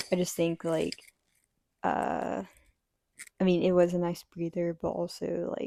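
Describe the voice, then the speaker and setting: A quiet woman at a fairly slow pace, with long, frequent pauses and a dry, close sound with no echo. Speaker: book reviewer. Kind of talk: casual chat.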